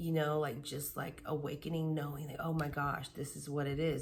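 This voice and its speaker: Quiet and flat, a woman with a very deep, low pitch speaks at a moderate pace amid audible room echo and noticeable background noise. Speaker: tarot reader. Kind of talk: tarot reading. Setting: at home late at night. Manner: casual.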